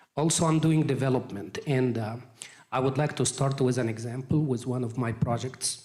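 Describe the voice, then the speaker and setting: A man with medium pitch and a somewhat breathy voice keeps fairly even intonation at a moderate pace. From Egypt. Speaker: real estate appraiser. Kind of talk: presentation at community meeting.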